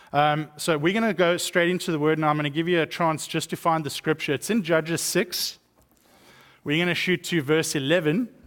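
A man talks at a fairly quick pace with a South African accent, his pitch fairly high for a man. His intonation is fairly even, and the recording is very clean with a silent background. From East London, South Africa. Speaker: guest speaker, missions director. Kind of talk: sermon. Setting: church.

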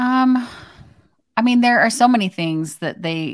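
Heard in a very clean recording with a silent background, a woman with an unremarkable speaking voice talks at a fairly slow pace with ordinary pitch variation. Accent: American. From Arizona. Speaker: social media marketing expert. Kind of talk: casual chat.

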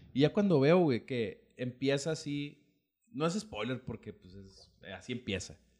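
A man's fairly slow, fairly high-pitched voice with very wide pitch swings and big swings in loudness. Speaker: podcast host. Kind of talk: casual chat.

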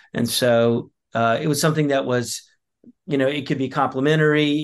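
The speaker has an American accent and a monotone, flat intonation. The pace is fairly quick against a quiet background. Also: man. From US South (the Carolinas). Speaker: pastor and small business owner. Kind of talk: podcast interview. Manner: halting, many repeated words and fillers.

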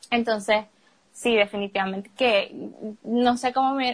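At a moderate pace, a plain, everyday voice carries fairly even intonation. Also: woman. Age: 20s. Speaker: university student. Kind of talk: personal testimony in casual chat.

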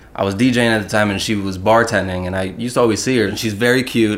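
Over noticeable background noise, a man talks at a fairly low pitch with ordinary pitch variation. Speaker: actor and artist. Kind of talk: casual chat. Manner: animated.

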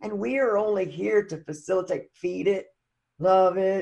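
A woman talks at a fairly slow pace in a medium pitch, with ordinary pitch variation. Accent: Southern US. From US Deep South. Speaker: recovery podcast guest. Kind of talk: casual interview.

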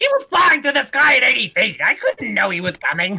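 This is a put-on character voice. It runs at a fairly quick pace. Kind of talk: comic impression voice. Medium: actual play. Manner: whiny, clingy.

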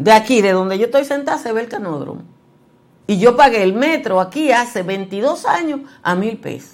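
At a moderate pace, a woman with a fairly high pitch and a normal speaking voice talks with lively intonation and big swings in loudness. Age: 60s. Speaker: journalist and news commentary host. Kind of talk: news commentary.

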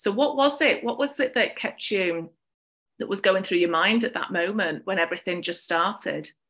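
With a British accent, a woman speaks at a moderate pace and medium pitch, her intonation lively and her tone enthusiastic. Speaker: podcast host. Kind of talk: interview conversation.

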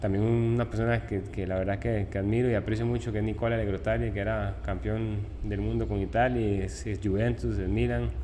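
With hardly any pauses and very wide pitch swings, the speech moves at a fairly quick pace amid noticeable background noise and audible room echo. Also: man, very deep, low pitch for a man. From Costa Rica (Tibás, San José). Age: 20s. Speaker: professional footballer. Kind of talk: interview. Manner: halting.

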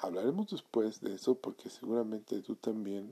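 Here a man talks at a fairly slow pace. His pitch is fairly low, with ordinary variation. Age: 30s. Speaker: podcast host. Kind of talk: solo monologue podcast. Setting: home recording at night.

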